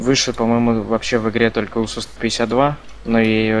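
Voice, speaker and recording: Monotone, flat delivery from a man at a medium pitch and moderate pace. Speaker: gaming streamer. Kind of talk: casual gameplay chat.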